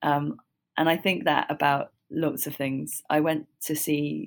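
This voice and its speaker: A woman speaks in a southern English accent. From London, England. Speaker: musician, author and radio executive. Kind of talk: interview. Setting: remote call.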